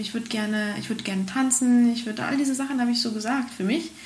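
Over noticeable background noise and audible room echo, a woman talks very fast at a high pitch with fairly even intonation. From Spain. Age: 30s. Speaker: horse trainer and stunt rider. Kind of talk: interview.

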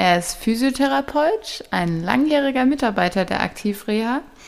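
A woman talks with lively intonation. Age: 20s. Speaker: podcast host, health education trainee. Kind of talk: informational podcast monologue.

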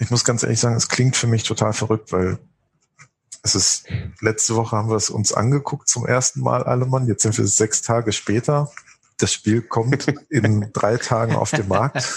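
Somewhat breathy, a man speaks at medium pitch and a moderate pace. His loudness is very even and his intonation fairly even. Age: 40s. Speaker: board game illustrator. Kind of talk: casual interview. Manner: halting, many fillers.

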